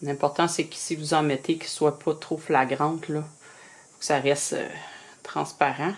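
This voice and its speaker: Speaking at a fairly slow pace with a Quebec accent, a woman uses a very deep, low pitch and monotone, flat intonation. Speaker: reborn doll artist. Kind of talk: tutorial. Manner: casual, hesitant with many fillers.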